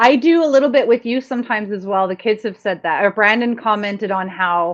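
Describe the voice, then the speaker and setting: A woman with a Canadian accent uses an ordinary speaking voice at a fairly high pitch and fairly quick pace. Her pitch varies in an ordinary way against a quiet background. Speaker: sex and relationships radio host. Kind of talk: casual chat.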